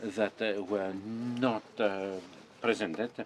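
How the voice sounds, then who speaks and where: A man speaks in a fairly low pitch with monotone, flat intonation. Noticeable background noise runs under the recording. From northern France (Nord-Pas-de-Calais). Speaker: symposium organizer. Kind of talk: closing summary talk. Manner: halting, many filler sounds.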